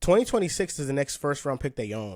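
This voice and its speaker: Sounding dry and close with no echo, an ordinary speaking voice moves at a fairly quick pace. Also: man. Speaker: podcast host, basketball fan. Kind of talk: casual podcast conversation about basketball.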